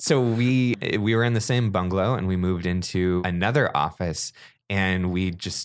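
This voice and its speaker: A man with an American accent speaks in a plain, everyday voice, fairly low-pitched with ordinary pitch variation, at a moderate pace on a very clean recording with a silent background. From Northern California. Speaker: podcast host. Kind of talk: casual chat. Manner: conversational, chatty.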